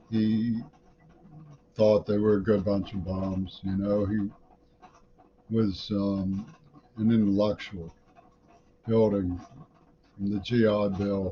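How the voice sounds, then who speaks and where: Very slow and broken by long, frequent pauses, a man with an American accent speaks at a fairly low pitch in a monotone, flat intonation. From US, Pittsburgh. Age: 60s. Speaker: vlogger. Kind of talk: casual monologue. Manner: halting.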